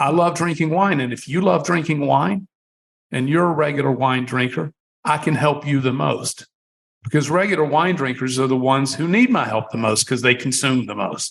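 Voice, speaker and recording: This man has an ordinary speaking voice, a fairly high pitch, ordinary pitch variation and a moderate pace. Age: 60s. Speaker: wine company founder. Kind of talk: podcast interview.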